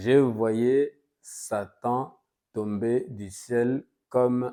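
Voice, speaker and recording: A very slow, dark and mellow man's voice of medium pitch with a Congolese accent and ordinary pitch variation, on a very clean recording with a silent background. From DR Congo. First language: Lingala (speaking French). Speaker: pastor. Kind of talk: sermon. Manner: hesitant, with frequent fillers.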